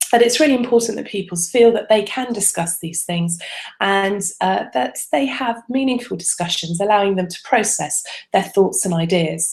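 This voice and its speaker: With an English accent, a woman of medium pitch speaks at a moderate pace, using lively intonation and big swings in loudness. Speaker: religious education advisor. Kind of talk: webinar presentation. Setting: online video broadcast. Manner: soft; hesitant, many fillers.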